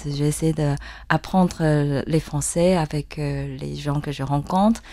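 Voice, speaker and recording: In a very clean recording with a silent background, a woman talks at a very slow pace with a Chinese accent. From Taiwan. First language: Mandarin Chinese (speaking French). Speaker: yangqin musician. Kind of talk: interview. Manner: halting, many hesitations.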